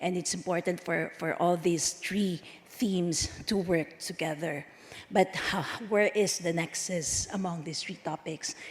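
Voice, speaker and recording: A woman with a fairly low pitch talks at a fairly slow pace, noticeable background noise around her. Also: fairly even intonation. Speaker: conference speaker from a standards organization. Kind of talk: conference speech. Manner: halting, many fillers.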